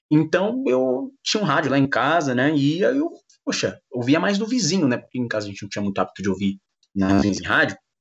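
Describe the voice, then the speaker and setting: A man with a fairly high pitch, very wide pitch swings and a fairly quick pace. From São Paulo, east zone. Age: 20s. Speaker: sports commentator. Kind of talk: interview. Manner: fast.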